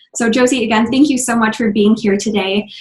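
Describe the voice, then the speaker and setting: A woman speaks with an American accent at a fairly quick pace, her fairly high pitch held in fairly even intonation. Her voice is somewhat breathy. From US Midwest, Minnesota. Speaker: podcast host. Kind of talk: interview.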